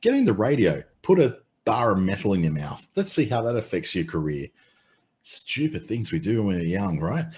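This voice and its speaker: A man with an Australian accent speaks at a fairly low pitch and a moderate pace, somewhat breathy, over a quiet background. His pitch swings very widely. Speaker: webinar presenter, former radio voice. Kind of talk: webinar presentation. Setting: online webinar. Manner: casual, animated.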